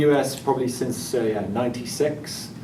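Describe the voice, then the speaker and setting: A man speaks at a fairly slow pace over noticeable background noise, with audible room echo. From England. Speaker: tech company engineer. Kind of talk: panel introduction. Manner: halting, many fillers.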